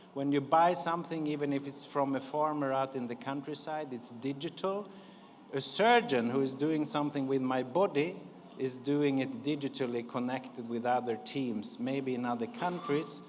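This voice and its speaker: With a Swedish accent, a man speaks at a moderate pace in a fairly high pitch with ordinary pitch variation, and audible room echo surrounds him. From Sweden. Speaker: diplomat. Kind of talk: conference speech.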